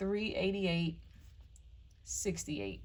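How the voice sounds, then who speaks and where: A woman speaks in a somewhat breathy voice. Audible room echo follows her words. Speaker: personal finance vlogger. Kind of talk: casual budgeting tutorial. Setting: home recording.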